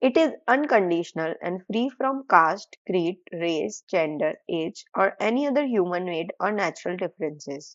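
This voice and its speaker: A woman with a non-native accent speaks at a medium pitch with very wide pitch swings. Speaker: audiobook reader. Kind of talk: audiobook reading of nonfiction.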